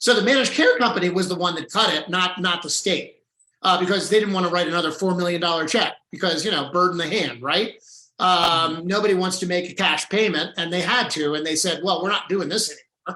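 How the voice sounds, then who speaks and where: At a fairly quick pace, a man talks in a high pitch. His pitch variation is ordinary. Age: 60s. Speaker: healthcare policy advocate. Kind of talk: panel discussion.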